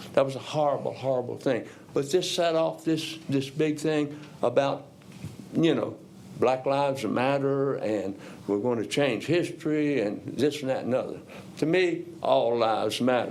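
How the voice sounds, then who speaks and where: A man with a fairly high voice speaks at a moderate pace with ordinary pitch variation, and the room echo is audible. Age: 70s. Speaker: retired educator, public commenter. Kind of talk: public comment at council meeting.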